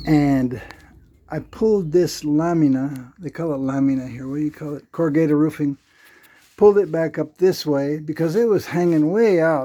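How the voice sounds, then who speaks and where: The tone is dark and mellow, with ordinary pitch variation. Loudness swings widely. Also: man, fairly high pitch for a man, moderate pace. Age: 70s. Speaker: vlogger. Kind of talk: casual home-project vlog narration. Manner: casual, halting.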